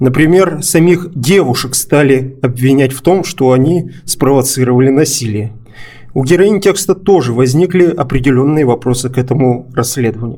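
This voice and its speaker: A man talks at a medium pitch and a moderate pace. It is an ordinary speaking voice with ordinary pitch variation. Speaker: journalist and podcast host. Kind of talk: podcast discussion; scripted narration.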